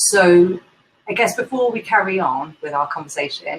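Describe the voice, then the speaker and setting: A woman speaks with a London accent. Her pace is moderate. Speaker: indie bookseller, event host. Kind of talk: casual interview chat.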